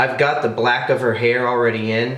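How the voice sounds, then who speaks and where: A man talks at a medium pitch with audible room echo. Noticeable background noise runs underneath. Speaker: airbrush artist. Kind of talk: tutorial. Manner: fast; casual, hesitant fillers.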